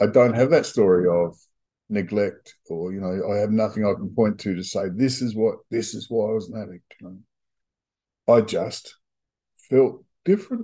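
Pausing long and often, a man with an Australian accent speaks at a fairly low pitch in a dark, mellow tone, with ordinary pitch variation and big swings in loudness. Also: moderate pace. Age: 60s. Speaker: recovering addict. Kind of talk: personal testimony.

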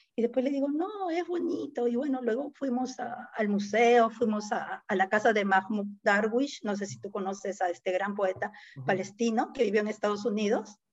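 A woman with a normal speaking voice, a fairly high pitch, lively intonation, a moderate pace, and hardly any pauses. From Peru, Lima (San Juan de Miraflores). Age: 50s. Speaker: poet. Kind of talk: casual chat.

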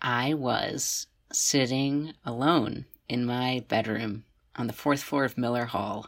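A woman's very deep, low pitch at a very slow pace with fairly even intonation, on a very clean recording with a silent background. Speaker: college student podcast co-host. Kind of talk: casual chat.

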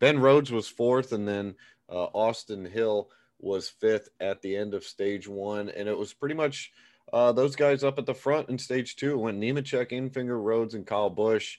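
Against a quiet background, a man uses a normal speaking voice at a medium pitch and moderate pace with ordinary pitch variation. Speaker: podcast host. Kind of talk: casual podcast chat.

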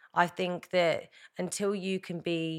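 A woman speaks with a southern English accent in a monotone, flat intonation. The recording is very clean and the background silent. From England, Hertfordshire. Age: 30s. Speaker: reality TV winner. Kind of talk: casual chat.

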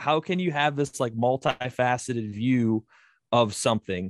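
A man with an American accent, medium pitch, lively intonation and a fairly slow pace, recorded dry and close with no echo against a quiet background. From Southeast Michigan, Ohio border. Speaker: outdoors podcaster and hunter. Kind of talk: casual interview chat. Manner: rambling, energetic.

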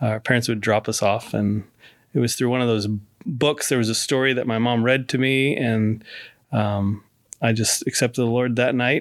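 This very clean recording has a silent background, and a man talks at a moderate pace with medium pitch and fairly even intonation. It is an unremarkable speaking voice with very even loudness. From moved around the US. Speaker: pastor and chaplain. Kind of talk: casual interview. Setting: studio.

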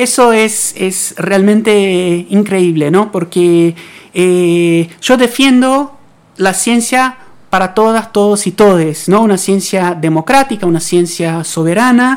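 Keeping her loudness very even, a woman speaks at a medium pitch and a very slow pace with ordinary pitch variation. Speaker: radio science segment host; physics researcher. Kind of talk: interview. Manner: halting, many repetitions.

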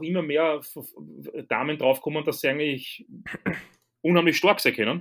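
Fairly even intonation from a man with a fairly high pitch, at a moderate pace, on a very clean recording with a silent background. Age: 30s. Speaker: strength coach. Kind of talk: casual chat.

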